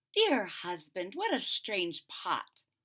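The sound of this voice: Using a put-on character voice, a woman talks slowly at a medium pitch with a bright, sharp tone, a slightly husky edge and very wide pitch swings.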